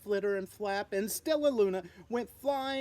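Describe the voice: Someone reads aloud plainly.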